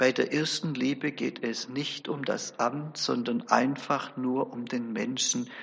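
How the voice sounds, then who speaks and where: A man at a medium pitch and a very slow pace, fairly even in intonation, with hardly any pauses. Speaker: preacher. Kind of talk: sermon. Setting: church. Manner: earnest, formal; measured, storytelling.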